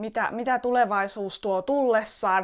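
A woman with an Estonian accent and fairly high pitch, at a very slow pace with ordinary pitch variation, on a very clean recording with a silent background. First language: Estonian (speaking Finnish). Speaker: podcaster and entrepreneur. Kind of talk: personal monologue. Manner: hesitant, many fillers and repetitions.

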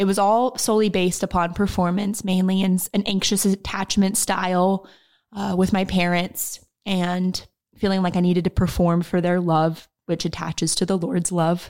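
At a moderate pace, a woman speaks at medium pitch in a monotone, flat intonation with very even loudness. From Oklahoma. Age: 20s. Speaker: social media manager. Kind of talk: personal testimony. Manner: passionate.

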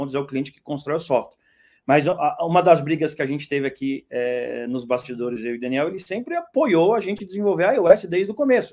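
Very fast speech with lively intonation, on a very clean recording with a silent background. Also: man. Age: 40s. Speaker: startup founder. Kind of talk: casual chat.

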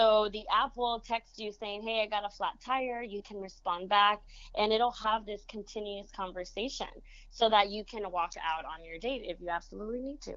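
A woman with a Spanish accent speaks at a moderate pace, with big swings in loudness. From Monterrey, Mexico; raised San Antonio. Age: 20s. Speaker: event planner, dating advice guest. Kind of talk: casual chat. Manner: animated.

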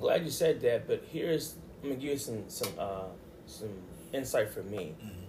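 At a moderate pace, a man talks while noticeable background noise stays present. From Baltimore. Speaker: podcast host, minister. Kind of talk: casual interview about faith.

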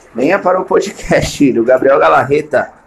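A man's voice over noticeable background noise. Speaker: comedian. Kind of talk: casual monologue. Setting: at home in the bathroom.

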